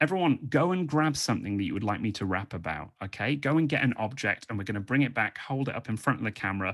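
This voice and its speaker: In a British accent, a man talks at a very fast pace from a medium pitch, swinging very widely up and down. The recording is very clean and the background silent. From England. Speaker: comedian and freestyle rapper. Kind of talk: stand-up. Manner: animated.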